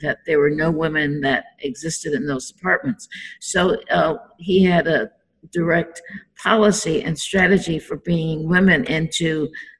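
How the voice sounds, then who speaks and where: Somewhat breathy and fairly low in pitch, a woman talks at a moderate pace with ordinary pitch variation. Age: 70s. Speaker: political advisor and transit advocate. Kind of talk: interview. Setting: recording studio.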